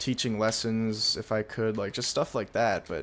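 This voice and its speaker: A soft-spoken man talks at a moderate pace with a medium pitch. The recording is very clean, with a silent background. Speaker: YouTuber and streamer. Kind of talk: casual monologue vlog. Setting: late at night at home. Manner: quiet, soft-spoken; hesitant, full of fillers.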